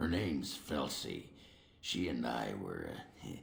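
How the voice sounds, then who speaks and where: The voice is a raspy, put-on character voice. It moves at a fairly slow pace. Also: man, very deep, low pitch for a man. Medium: video game. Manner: blunt, coarse, gruff.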